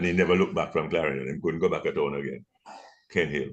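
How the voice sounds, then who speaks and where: A man's very deep, low voice with vocal fry. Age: 70s. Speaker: son of a political figure. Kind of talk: casual chat. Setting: video call.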